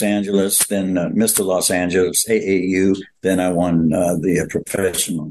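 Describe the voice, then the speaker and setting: A man talks at a fairly slow pace with hardly any pauses, his pitch very deep and low. His loudness stays very even. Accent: Louisiana. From Louisiana, New Orleans. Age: 80s+. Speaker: retired bodybuilder and actor. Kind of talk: interview storytelling. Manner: halting, many fillers.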